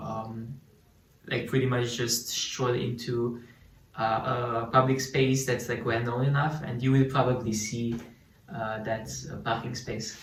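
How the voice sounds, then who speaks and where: With a Slovene accent, a man speaks fairly slowly in a monotone, flat way, leaving long, frequent pauses amid noticeable background noise and audible room echo. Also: medium pitch for a man. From Slovenia. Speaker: student sharing local life. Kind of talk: casual chat.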